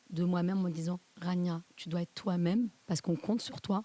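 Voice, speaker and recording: Somewhat breathy, with a dark, mellow tone, a woman speaks at medium pitch, a moderate pace, and fairly even intonation. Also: dry, close sound with no echo. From southern France. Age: 40s. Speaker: podcast guest, mother. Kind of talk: interview testimony.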